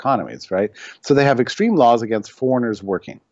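A man's voice of medium pitch. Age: 50s. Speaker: economics writer and editorial director. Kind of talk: interview. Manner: halting.

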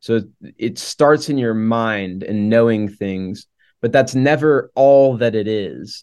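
Against a quiet background, a man with an American accent speaks at a very slow pace, his medium pitch showing ordinary variation. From Oklahoma. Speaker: campus minister. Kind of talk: casual conversation. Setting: video call.

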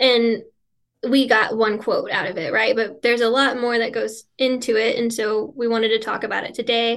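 At a moderate pace, a woman speaks in a monotone, flat intonation with a fairly high pitch. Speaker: Satanic Temple member and writer. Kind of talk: casual chat, podcast conversation. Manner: self-conscious about her voice, nervous.

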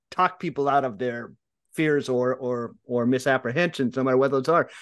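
Over a quiet background, a man with an American accent and a normal speaking voice talks at a moderate pace in a medium pitch. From California Central Valley, US. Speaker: sports writer and podcast co-host. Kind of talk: casual chat.

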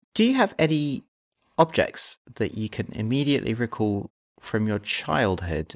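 A man with an unremarkable speaking voice talks at medium pitch with lively intonation. The sound is dry and close with no echo, on a very clean recording with a silent background. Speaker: podcast interviewer. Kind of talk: interview.

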